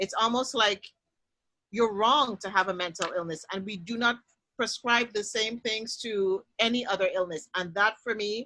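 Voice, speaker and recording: A woman's fairly high, bright, sharp voice at a moderate pace, with ordinary pitch variation. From Trinidad. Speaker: panel discussion host. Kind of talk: panel discussion.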